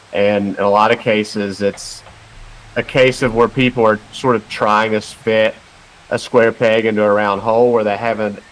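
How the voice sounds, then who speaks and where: Over noticeable background noise, a man with an American accent speaks at a fairly low pitch with monotone, flat intonation. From western North Carolina. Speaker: personal trainer and nutrition coach. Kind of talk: podcast interview.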